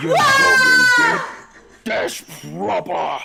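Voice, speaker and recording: A fairly slow, put-on character voice from a man. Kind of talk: rough, slangy.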